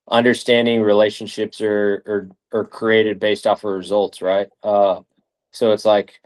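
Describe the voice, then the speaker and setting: Dry and close with no echo, a man's fairly low voice proceeds at a moderate pace with monotone, flat intonation. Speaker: strength and conditioning coach. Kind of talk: interview. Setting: video call.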